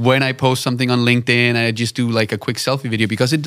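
A man speaks very fast with a Danish accent. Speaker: podcast host, video production company owner. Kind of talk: interview. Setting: studio.

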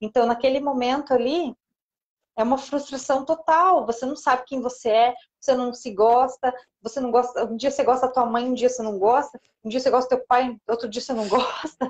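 Fairly quick, high-pitched speech from a woman. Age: 30s. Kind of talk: interview / faith talk on live stream. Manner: animated, frequent laughter.

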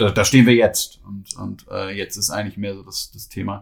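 At a fairly quick pace, a man speaks with fairly even intonation in a fairly low, somewhat breathy voice. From Cologne, Germany. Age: 30s. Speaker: recruiting director. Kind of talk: podcast interview. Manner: hesitant, many fillers and repetitions.

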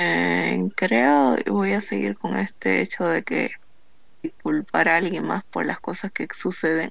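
A woman speaks very slowly in a very deep, low voice with vocal fry. Her pitch swings very widely over a quiet background. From Bolivia. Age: 20s. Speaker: podcast co-host, accounting graduate. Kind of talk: casual chat.

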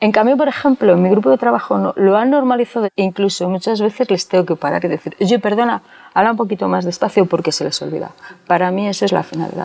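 A woman's medium-pitched voice at a very fast pace, lively in intonation, with a dry, close sound and no echo. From Spain, Segovia province. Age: 40s. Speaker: bank employee, deaf with cochlear implant. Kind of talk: interview.

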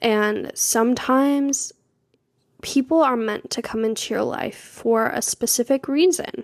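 A woman's high voice moves with ordinary pitch variation. She speaks at a fairly slow pace. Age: 20s. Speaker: podcast host. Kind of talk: casual monologue.

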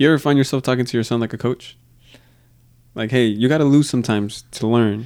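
A man speaks at a very fast pace with a medium pitch. He leaves long, frequent pauses, and the recording is very clean with a silent background. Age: 30s. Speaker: podcast host. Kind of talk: interview conversation. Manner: casual, energetic.

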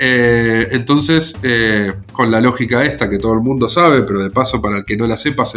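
With a Rioplatense accent, a man talks at a moderate pace, medium pitch and ordinary pitch variation. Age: 40s. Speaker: board game club organizer. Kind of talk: casual interview.

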